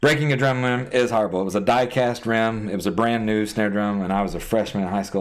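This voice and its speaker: In an American accent, a man with a fairly low pitch and ordinary pitch variation speaks very fast with hardly any pauses, amid audible room echo and noticeable background noise. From US South, South Georgia. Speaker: gaming streamer and drummer. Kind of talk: casual live-stream chat answering viewers. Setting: live stream.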